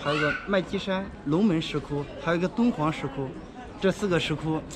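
With noticeable background noise behind him, a man talks at a moderate pace with ordinary pitch variation. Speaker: interviewee. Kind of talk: interview answer. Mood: friendly, smiling. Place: street. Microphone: phone near.

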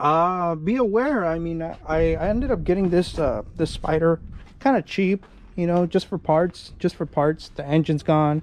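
The man has a high pitch and talks at a moderate pace. The sound is dry with no echo, with light background noise. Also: ordinary pitch variation. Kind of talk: casual tutorial chat. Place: garden. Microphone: phone near.

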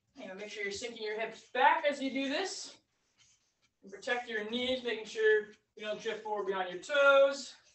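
A woman's calm, fairly high voice with big swings in loudness and audible room echo. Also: ordinary pitch variation, moderate pace. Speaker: fitness instructor. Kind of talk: guided exercise class. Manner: calm, encouraging, steady; paced by counting down. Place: empty room. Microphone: camera far.

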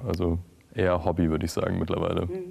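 This is a man talking. His pitch sits very deep and low. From Franconia, Bavaria (Schweinfurt); Bavaria, Germany. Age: 20s. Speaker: startup founder; guest. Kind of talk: interview. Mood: relaxed, friendly. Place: studio.

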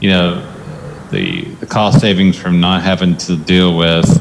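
There is noticeable noise in the background. The speaker is a man. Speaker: presenter. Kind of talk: meeting presentation. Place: meeting room. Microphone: podium.

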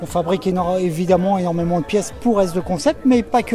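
Faint music plays behind a man whose pitch sits high, with ordinary pitch variation, a dark, mellow tone and a fairly quick pace.

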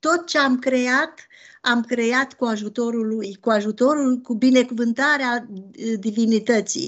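A high-pitched woman at a very slow pace, with ordinary pitch variation and a quiet background. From Romania, Transylvania (Bistrița-Năsăud); Transylvania, Romania. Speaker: novelist. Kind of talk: interview. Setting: video call. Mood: earnest, personal. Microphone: video call.

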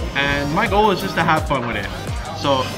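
A man talks fairly quickly, with clear music heard behind him. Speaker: food challenge vlogger. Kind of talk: casual vlog chat. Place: cafe. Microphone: phone near.

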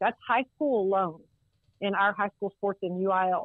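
Speaking quite quickly in a Texan accent, a woman keeps her medium-pitched voice fairly even in intonation. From Texas, Central Texas (Waco area). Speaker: college football administrator. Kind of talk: interview. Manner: halting, many fillers.

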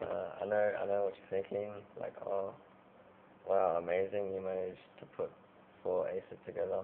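The pace is moderate. Light background noise can be heard. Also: man. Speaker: amateur magician. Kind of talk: casual card trick demonstration to camera. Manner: dull, flat. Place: home room. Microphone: webcam.

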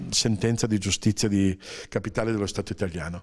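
At a fairly quick pace, a man talks in a fairly low voice with fairly even intonation. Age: 60s. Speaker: journalist and author; journalist. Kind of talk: interview. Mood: warm, anecdotal, smiling. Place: meeting room. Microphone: handheld.

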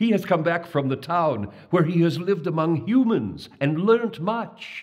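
A man's shaky, put-on character voice.

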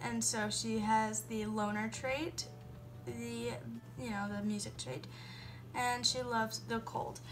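A woman is talking while clear music plays behind her. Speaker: gaming YouTuber. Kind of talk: casual gameplay commentary. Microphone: phone near.

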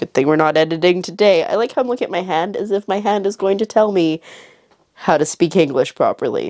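At a fairly quick pace, a woman talks at a medium pitch with ordinary pitch variation and a dark, mellow tone, in a dry, close sound with no echo. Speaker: vlogger. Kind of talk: casual vlog monologue. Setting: home, filming herself.

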